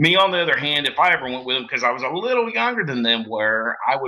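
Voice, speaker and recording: Here a man speaks at a fairly quick pace. He has a Southern US accent. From US South, southeast Missouri. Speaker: bluegrass musician. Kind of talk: casual interview chat. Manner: halting, many fillers.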